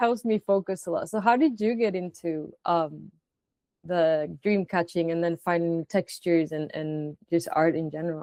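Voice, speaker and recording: In a Spanish accent, a woman speaks at a fairly low pitch with a dark, mellow tone and ordinary pitch variation, the sound dry and close with no echo. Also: moderate pace. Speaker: interviewer. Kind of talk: interview. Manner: halting, many fillers and restarts.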